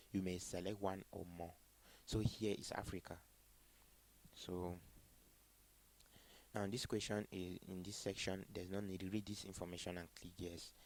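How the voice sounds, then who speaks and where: A man's very deep, low voice, monotone and flat, at a moderate pace with long, frequent pauses. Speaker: student tutorial presenter. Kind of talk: tutorial.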